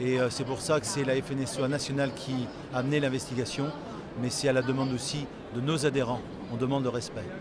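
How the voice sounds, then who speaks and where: The voice moves at a fairly quick pace over noticeable background noise, in a dry sound with no echo. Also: man. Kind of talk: interview answer. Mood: aggrieved but calm. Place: hall. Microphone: phone near.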